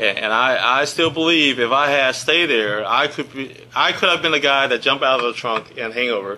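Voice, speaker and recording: Speaking at a fairly quick pace with hardly any pauses, a man uses a normal speaking voice at medium pitch with ordinary pitch variation. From grew up in Lynchburg, Virginia (US South), immigrant child. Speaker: government executive, presenter. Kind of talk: presentation. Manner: conversational, many fillers and restarts.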